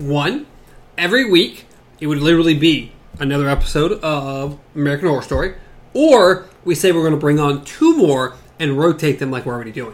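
Delivered at a fairly quick pace with ordinary pitch variation, this is a plain, everyday voice. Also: man, fairly high pitch for a man. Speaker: podcast host. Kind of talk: casual chat podcast. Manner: casual, chatty.

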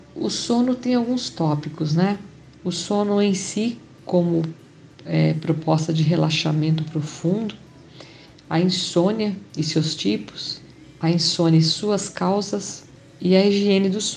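Very slowly and with long, frequent pauses, a woman speaks at a fairly low pitch with ordinary pitch variation, with audible room echo. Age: 50s. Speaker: yoga teacher and aromatherapist. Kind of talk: health talk.

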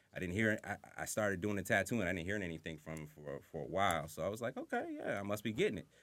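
This man talks at a fairly quick pace. He has an American accent. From Southampton, Long Island, New York. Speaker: tattoo artist. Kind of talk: casual chat.

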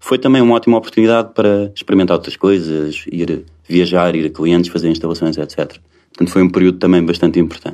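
A man talks at a very fast pace in a very deep, low voice with a dark, mellow tone and ordinary pitch variation. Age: 40s. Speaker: tech company co-founder. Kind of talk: interview. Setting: company office.

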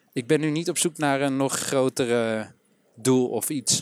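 A medium-pitched male voice with ordinary variation in pitch. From Amsterdam, Netherlands. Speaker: trainer-coach, entrepreneur. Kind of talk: casual interview. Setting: walking outdoors in a park.

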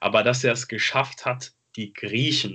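A man with a medium pitch speaks fairly slowly, his intonation fairly even. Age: 20s. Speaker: football podcast host. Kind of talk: casual chat.

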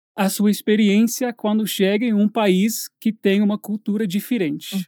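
Recorded very cleanly against a silent background, a man with an English accent speaks at a high pitch in a dark, mellow tone. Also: dry, close sound with no echo. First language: English (speaking Portuguese). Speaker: English teacher, podcast host. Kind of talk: casual chat.

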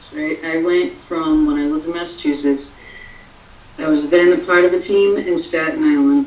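Through noticeable background noise, a woman with an American accent and a fairly low pitch speaks at a moderate pace with very wide pitch swings. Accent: Boston-like accent (people guess Boston). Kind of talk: casual chat on live stream.

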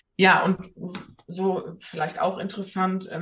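A woman with an unremarkable speaking voice talks at a fairly slow pace and medium pitch. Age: 20s. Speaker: social worker with lupus. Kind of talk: interview.

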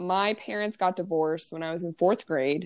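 A woman's plain, everyday voice at a moderate pace, medium in pitch, with ordinary pitch variation. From US, Ozark Mountains. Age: 20s. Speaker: podcast co-host, teacher. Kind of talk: casual chat.

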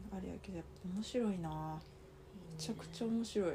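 A woman with a Kansai accent at a very fast pace, amid noticeable background noise. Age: 30s. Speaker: podcast co-host. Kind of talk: casual chat. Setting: at home, sleepover recording. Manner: animated.

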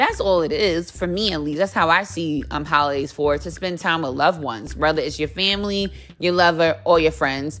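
A woman with a very deep, low pitch and vocal fry talks at a fairly quick pace with lively intonation and hardly any pauses. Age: 30s. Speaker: podcast host. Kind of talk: casual monologue.

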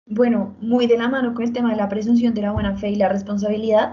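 In a room with audible echo, a woman with a fairly high pitch speaks at a fairly quick pace and fairly even intonation. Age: 20s. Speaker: law student. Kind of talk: casual chat.

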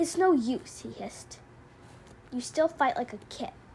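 A woman puts on a hissing character voice at a high pitch and a moderate pace. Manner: hissing, scornful.

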